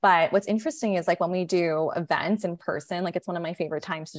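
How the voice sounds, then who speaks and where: Using a normal speaking voice, a woman talks at a fairly quick pace with ordinary pitch variation. The background is quiet. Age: 30s. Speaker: chief marketing officer of a period care brand. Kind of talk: casual interview.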